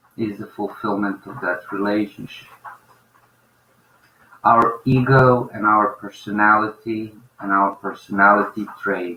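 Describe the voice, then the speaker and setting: A man with a non-native accent, fairly low-pitched and monotone, at a fairly slow pace with long, frequent pauses and big swings in loudness. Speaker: spiritual teacher. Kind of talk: spiritual talk.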